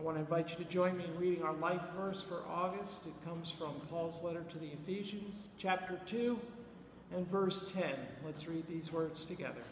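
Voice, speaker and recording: A man talks at a moderate pace in a high pitch for a man. There is audible room echo and light background noise. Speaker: pastor leading a service. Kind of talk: church announcements and scripture reading. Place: church. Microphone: headset.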